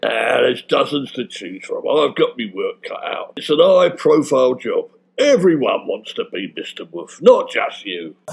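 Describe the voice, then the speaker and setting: A man's put-on character voice at a moderate pace, with hardly any pauses. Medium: audio drama. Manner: blunt, dismissive.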